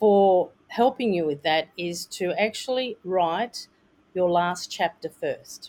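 Speaking very slowly with lively intonation, a woman talks in an Australian accent. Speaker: author coach and publisher. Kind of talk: interview. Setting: video call.

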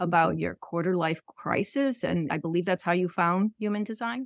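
A woman with a plain, everyday voice talks at a fairly quick pace and fairly low pitch, with ordinary pitch variation and a dry, close sound with no echo. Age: 50s. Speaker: podcast host, business owner. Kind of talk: interview.

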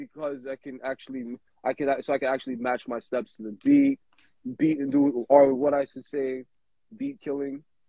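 With a New York accent, a man talks at a moderate pace. His medium pitch follows fairly even intonation. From Brooklyn, New York City. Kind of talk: casual chat.

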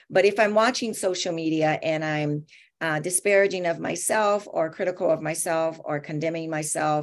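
A woman with an unremarkable speaking voice talks at a moderate pace and fairly low pitch, with ordinary pitch variation, on a very clean recording with a silent background. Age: 50s. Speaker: therapist and author. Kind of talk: interview.

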